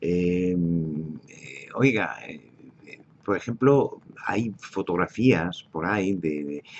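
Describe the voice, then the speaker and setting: Here a man speaks with a very deep, low pitch. His intonation is lively. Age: 70s. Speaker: political commentator. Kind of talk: monologue. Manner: halting.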